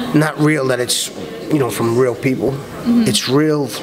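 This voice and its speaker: Music in the background behind a man in a Brooklyn accent, medium pitch and ordinary pitch variation. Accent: New York, Brooklyn. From Brooklyn, New York. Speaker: character actor. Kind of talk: interview answer. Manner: casual, conversational.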